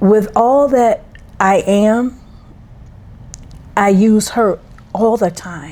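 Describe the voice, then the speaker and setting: The speaker goes at a very slow pace with long, frequent pauses and ordinary pitch variation, over noticeable background noise. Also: woman, fairly high pitch for a woman. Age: 70s. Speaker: podcast co-host, mother. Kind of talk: casual chat.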